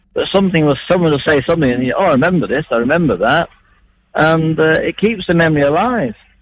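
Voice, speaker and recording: With a Mancunian accent, a man talks at a very fast pace. His pitch variation is ordinary. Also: fairly high pitch for a man. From Manchester, England. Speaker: long-distance traveller. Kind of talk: radio phone interview. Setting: phone call.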